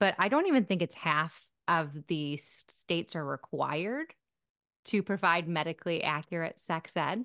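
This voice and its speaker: Recorded dry with no echo against a quiet background, a woman with an American accent talks in a fairly low pitch, with lively intonation and a bright, sharp tone. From US Midwest, Michigan. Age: 40s. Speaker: sex therapist; interview guest. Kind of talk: interview. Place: home room. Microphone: studio mic.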